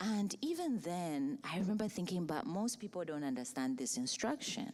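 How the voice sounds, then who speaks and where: A woman with a Zambian accent talks at a fairly quick pace with very wide pitch swings. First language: Bemba. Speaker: writer and poet. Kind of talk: panel discussion. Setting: stage with audience.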